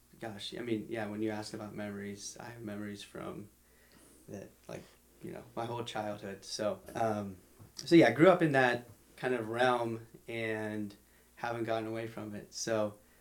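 Big swings in loudness and ordinary pitch variation, with audible room echo. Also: man, medium pitch for a man, moderate pace. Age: 20s. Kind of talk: casual chat.

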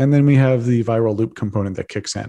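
A man with a dark, mellow tone and fairly low pitch, talking at a very fast pace against a quiet background. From Texas. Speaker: entrepreneur and Bitcoin advocate. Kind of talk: podcast interview.

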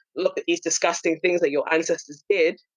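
A London accent comes through clearly. The words move at a fairly quick pace. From London, England. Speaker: anti-racism activist and content creator. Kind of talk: casual chat.

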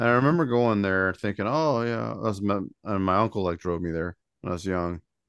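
A man with an unremarkable speaking voice talks at a fairly quick pace in a fairly low pitch, with ordinary pitch variation against a quiet background. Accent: American. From Indiana. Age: 40s. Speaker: podcast co-host. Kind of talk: casual chat.

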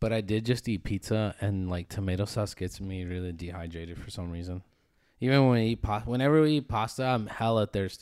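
A man with a plain, everyday voice and an American accent talks at a fairly quick pace with fairly low pitch and ordinary pitch variation. The recording is very clean, with a silent background. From Phoenix, Arizona, US. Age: 20s. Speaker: podcast co-host. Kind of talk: casual chat. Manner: joking, casual.

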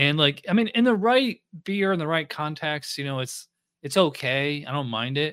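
An unremarkable speaking voice with an American accent moves at a moderate pace with lively intonation. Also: man, fairly high pitch for a man. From upstate New York. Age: 40s. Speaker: podcast host, beer reviewer. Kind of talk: casual chat. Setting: video call.

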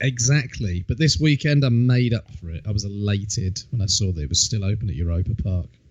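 Speaking fairly low, a man uses a somewhat breathy voice. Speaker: wrestling podcast host. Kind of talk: casual chat.

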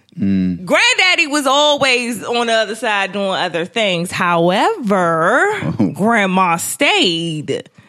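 A woman talks at a very slow pace, her pitch swinging very widely. Noticeable background noise runs underneath. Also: medium pitch for a woman. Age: 30s. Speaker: podcast guest. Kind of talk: casual chat.

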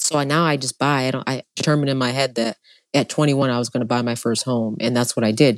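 Speaking very fast in an animated tone, a woman with a New York accent comes through a dry, close sound with no echo on a very clean recording with a silent background. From upstate New York. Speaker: entrepreneur. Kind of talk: casual chat.

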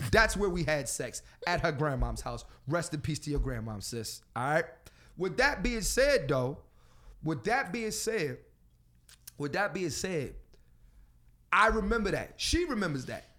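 An American man with a high pitch and a bright, sharp, animated tone speaks at a fairly slow pace, his voice swinging very widely in pitch and broken by long, frequent pauses. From Philadelphia. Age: 30s. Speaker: comedian and podcast host. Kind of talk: casual chat. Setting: studio, also streamed live on Instagram.

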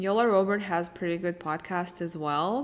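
A woman's medium-pitched voice in a Russian accent, with ordinary pitch variation. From eastern Ukraine (Mariupol). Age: 30s. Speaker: fashion blogger and podcast host. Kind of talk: solo Q&A podcast monologue.

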